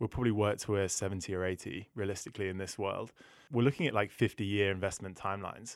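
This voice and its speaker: A man's fairly low voice in a British accent at a very fast pace, on a very clean recording with a silent background. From UK. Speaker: sustainability manager at a finance comparison company. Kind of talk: podcast interview.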